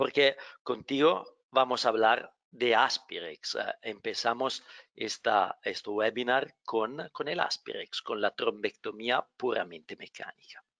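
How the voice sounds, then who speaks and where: A man with a non-native accent speaks at a very slow pace, the sound dry and close with no echo against a quiet background. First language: not Spanish (speaking Spanish). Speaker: medical device company representative, webinar moderator. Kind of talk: webinar moderation; product presentation. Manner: halting.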